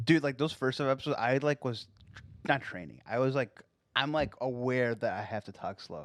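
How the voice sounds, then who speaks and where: On a very clean recording with a silent background, a man speaks at a medium pitch. It is a normal speaking voice at a fairly quick pace. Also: ordinary pitch variation. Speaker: podcast co-host.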